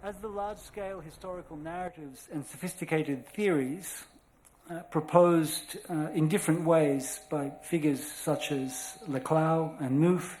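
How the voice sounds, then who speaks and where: With an Australian accent and a fairly high pitch, a man talks at a moderate pace with fairly even intonation and big swings in loudness, amid audible room echo and noticeable background noise. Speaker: scholar lecturer. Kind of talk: lecture. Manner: formal.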